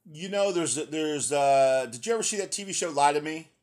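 On a very clean recording with a silent background, a man talks in a plain, everyday voice, fairly high for a man, with ordinary pitch variation. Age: 50s. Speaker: podcast host. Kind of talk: interview. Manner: casual, repetitive fillers.

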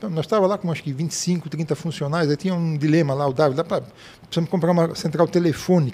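A man's fairly high voice at a very fast pace, with fairly even intonation over noticeable background noise. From Blumenau, southern Brazil. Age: 60s. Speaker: retired software company founder. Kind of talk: interview.

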